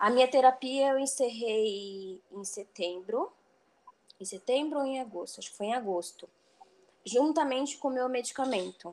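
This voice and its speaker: A woman speaks high in pitch with ordinary pitch variation at a moderate pace. Her loudness swings widely. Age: 30s. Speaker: HR worker in logistics, former soldier. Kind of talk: casual chat.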